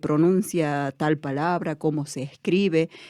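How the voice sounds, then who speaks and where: A woman is talking. Her pace is very slow. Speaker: education student and community worker. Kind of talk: interview. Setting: studio.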